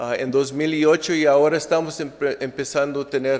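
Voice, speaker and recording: Here a man is speaking. He goes at a fairly slow pace. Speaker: sociologist researcher. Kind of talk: academic conference presentation. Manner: halting, many fillers and restarts.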